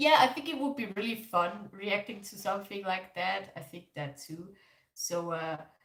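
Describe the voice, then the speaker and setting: Fairly slow speech from a woman with a German accent. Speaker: K-pop reaction YouTuber. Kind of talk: livestream reaction chat. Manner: casual, filler-heavy.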